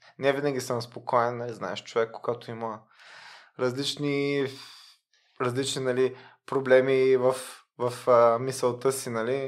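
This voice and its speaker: A man's medium-pitched, monotone, flat delivery at a fairly slow pace, with long, frequent pauses, on a very clean recording with a silent background. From Bulgaria, Varna. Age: 30s. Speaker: lawyer. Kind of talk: casual interview.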